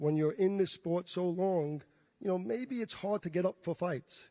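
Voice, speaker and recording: Dry and close with no echo, a man's voice is high in pitch, dark and mellow in tone, and fairly slow, with ordinary pitch variation. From New York, the Bronx. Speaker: boxing promoter. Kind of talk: press conference remarks.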